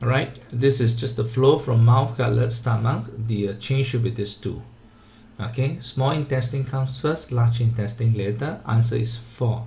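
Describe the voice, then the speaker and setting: A man speaks in a dark, mellow tone that is somewhat breathy, with audible room echo around him. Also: medium pitch for a man, fairly even intonation, moderate pace. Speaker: tutor. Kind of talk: tutorial.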